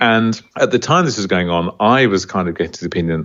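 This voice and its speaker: With an Australian accent, a man talks at a very fast pace in a very deep, low pitch with ordinary pitch variation. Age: 60s. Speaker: small business founder. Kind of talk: podcast interview. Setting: podcast interview.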